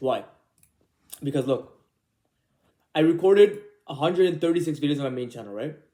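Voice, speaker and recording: With a dark, mellow tone and a fairly high pitch, a man talks at a fairly quick pace with ordinary pitch variation. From immigrant to Canada, born abroad. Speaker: YouTuber. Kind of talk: casual vlog monologue. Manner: loud; casual, rambling with fillers.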